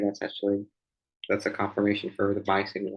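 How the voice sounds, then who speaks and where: This is a man speaking. His pitch sits fairly low. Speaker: stock market commentator. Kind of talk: market analysis screen-share commentary. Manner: casual, hesitant with fillers.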